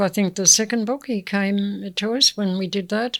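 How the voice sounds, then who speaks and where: A woman with an Australian accent keeps her intonation fairly even. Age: 80s+. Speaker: community elder. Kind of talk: interview.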